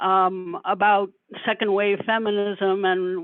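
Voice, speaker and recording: A woman with an American accent speaks at a medium pitch in a monotone, flat delivery. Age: 70s. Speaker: retired feminist activist asking a question. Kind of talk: Q&A question at an online talk. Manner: halting, many fillers and repeats.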